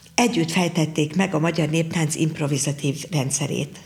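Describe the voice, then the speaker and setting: A woman speaks at a moderate pace and a fairly low pitch. Noticeable background noise can be heard. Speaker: folk dance teacher. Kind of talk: interview. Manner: halting.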